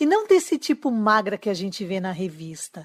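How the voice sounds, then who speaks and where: A woman speaks with a Brazilian accent at a moderate pace. The sound is dry and close with no echo, in a very clean recording with a silent background. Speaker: relationship coach. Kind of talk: sales pitch.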